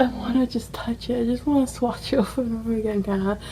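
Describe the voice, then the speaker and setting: A woman talks at a very fast pace in a high pitch. Noticeable background noise is present. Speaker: beauty vlogger. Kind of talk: casual vlog chat. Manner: animated.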